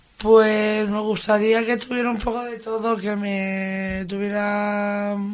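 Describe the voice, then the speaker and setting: A woman speaks at a medium pitch with flat, monotone intonation. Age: 30s. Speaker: psychiatric hospital patient. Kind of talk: casual interview.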